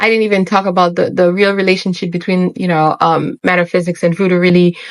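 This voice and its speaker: A woman's medium-pitched voice with a Haitian accent. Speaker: spiritual YouTuber. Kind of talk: monologue to camera. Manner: animated.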